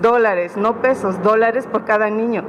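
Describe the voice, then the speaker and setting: Noticeable background noise sits behind a woman with a fairly high pitch. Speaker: repatriated migrant. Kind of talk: press conference statement. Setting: press conference room. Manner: halting.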